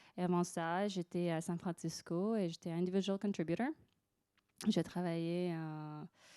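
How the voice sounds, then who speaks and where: A woman's dark, mellow voice moves with fairly even intonation. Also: fairly low pitch for a woman, fairly slow pace. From Russia / United States. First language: Russian or English (speaking French). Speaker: design manager. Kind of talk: panel discussion. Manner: hesitant, searching for words.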